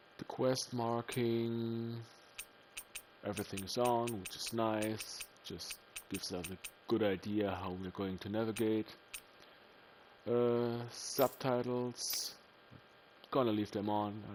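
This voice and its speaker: A man with a German accent talks at a very slow pace with long, frequent pauses. His medium-pitched voice keeps a fairly even intonation. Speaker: gaming video creator. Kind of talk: let's play commentary. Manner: casual, with many fillers.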